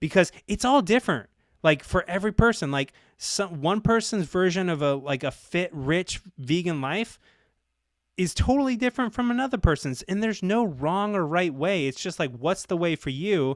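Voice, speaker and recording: Lively intonation and an animated tone mark this man's high-pitched voice, heard at a moderate pace on a very clean recording with a silent background. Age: 40s. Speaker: fitness and money coach. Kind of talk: casual chat.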